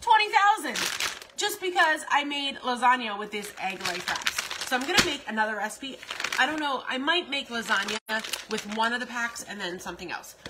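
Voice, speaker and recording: Loud background noise runs beneath talk delivered at a moderate pace. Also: woman. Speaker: food vlogger. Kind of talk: casual vlog chat, live-stream style reading comments. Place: kitchen. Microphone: phone near.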